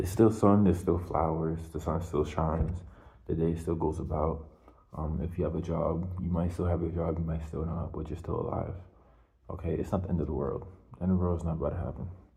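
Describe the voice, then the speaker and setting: Quiet and somewhat breathy, a man speaks at a very fast pace with very deep, low pitch and monotone, flat intonation. His dark, mellow tone carries audible room echo. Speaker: video blogger. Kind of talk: casual monologue. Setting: hallway at home at night. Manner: quiet, lowered voice; halting, many fillers.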